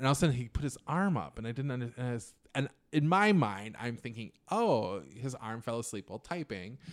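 A man speaks in an ordinary speaking voice at medium pitch, with an American accent. His intonation is lively and his pace fairly quick. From Minnesota, US. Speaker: comedian. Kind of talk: casual chat.

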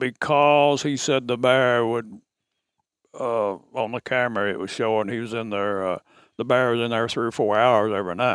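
Using fairly even intonation, a man with an Arkansas accent talks at a moderate pace and a medium pitch. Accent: Southern US (Arkansas). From Arkansas, Ouachita Mountains. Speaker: camp owner, hunter. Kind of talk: storytelling. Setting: hunting camp. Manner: halting.

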